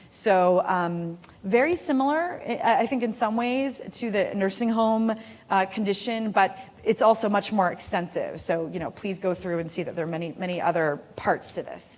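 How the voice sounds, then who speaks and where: Lively intonation in a woman's voice of medium pitch. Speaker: public health physician, conference speaker. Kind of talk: conference talk. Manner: fast.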